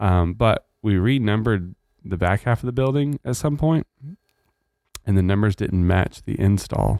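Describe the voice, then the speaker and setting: With a dark, mellow tone and fairly low pitch, a man talks at a moderate pace with ordinary pitch variation in a dry, close sound with no echo. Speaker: church pastor and podcast host. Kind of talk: casual chat.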